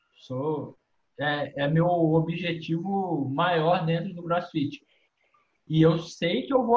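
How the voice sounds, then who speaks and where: The man's high-pitched voice shows ordinary pitch variation. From Minas Gerais, Brazil. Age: 20s. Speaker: adaptive CrossFit athlete, wheelchair user. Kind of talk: casual chat.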